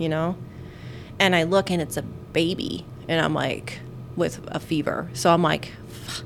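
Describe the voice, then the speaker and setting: Over noticeable background noise, a woman talks in a fairly low voice with ordinary pitch variation. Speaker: nurse podcast host. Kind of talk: casual chat.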